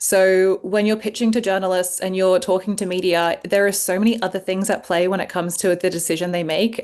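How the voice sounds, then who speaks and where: Monotone, flat intonation with hardly any pauses. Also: woman. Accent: Australian. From Australia. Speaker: journalist and sexologist. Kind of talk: interview.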